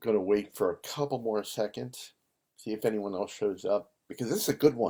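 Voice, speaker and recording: This man's voice sits fairly low in pitch. His tone is dark and mellow. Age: 60s. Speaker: livestream host. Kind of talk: casual chat. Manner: rambling, halting with fillers.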